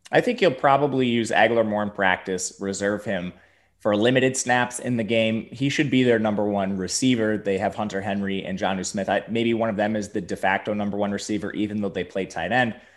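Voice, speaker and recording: A man with an American accent, a normal speaking voice, and a fairly low pitch talks at a fairly quick pace with hardly any pauses and fairly even intonation. The recording is very clean, with a silent background. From Wisconsin, Milwaukee. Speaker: fantasy sports analyst. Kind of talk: casual chat.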